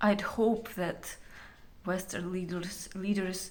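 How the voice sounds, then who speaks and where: A woman with a Ukrainian accent speaks very slowly in a medium pitch. Her intonation is flat and monotone, and the room echo is audible. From Ukraine. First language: Ukrainian or Russian. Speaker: Ukrainian civilian. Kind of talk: testimony. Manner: halting, many fillers.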